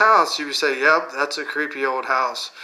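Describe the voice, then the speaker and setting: The speaker is a man with a moderate pace. Noise can be clearly heard behind him. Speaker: comedian and storyteller. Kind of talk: casual comedic storytelling monologue; channel promotion. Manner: rambling, repetitive, with self-corrections.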